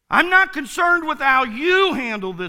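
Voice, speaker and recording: A man projects a raised voice with a bright, sharp tone. His pitch swings very widely at a moderate pace. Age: 50s. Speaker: pastor. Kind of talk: sermon.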